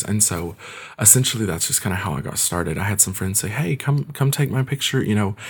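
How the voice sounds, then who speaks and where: With an American accent, a man speaks at a very deep, low pitch, using vocal fry and lively intonation. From Kentucky, US. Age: 20s. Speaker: photographer. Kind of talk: casual interview.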